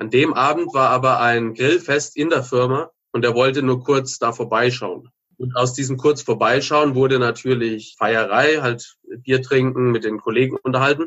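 With a normal speaking voice, a man talks at a moderate pace, his medium pitch held in fairly even intonation. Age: 30s. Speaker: former drug addict turned author and entrepreneur. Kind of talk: interview testimony.

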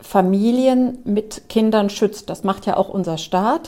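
Her voice is fairly high in pitch, this woman speaking with a dark, mellow tone and fairly even intonation. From Germany, Trier. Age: 50s. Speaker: newspaper journalist. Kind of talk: interview.

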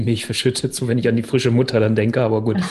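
This man's voice is somewhat breathy, with a dark, mellow tone and medium pitch. He talks at a fairly quick pace with monotone, flat intonation. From northern Germany, Hannover. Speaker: relationship coach. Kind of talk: interview.

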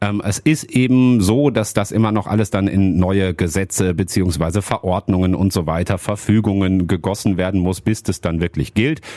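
This man has a fairly low voice with a dark, mellow tone. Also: very clean recording, silent background. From Hattingen, Ruhr area, Germany. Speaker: local radio host. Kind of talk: casual chat.

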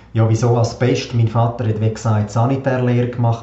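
There is noticeable background noise. A man speaks in a medium pitch with monotone, flat intonation. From Switzerland, Graubünden (Davos). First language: Swiss German (speaking German). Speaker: podcast host. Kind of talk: personal monologue.

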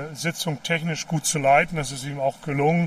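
A man speaks at a fairly slow pace in a fairly high pitch. His intonation is monotone and flat. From East Germany, Mecklenburg-Vorpommern. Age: 60s. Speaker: politician. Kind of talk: interview on a walk. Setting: outdoors, walking by a river.

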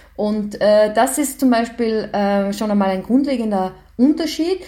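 The tone is dark and mellow, somewhat breathy. Intonation is lively. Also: woman. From Austria, Graz. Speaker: professor. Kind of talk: interview.

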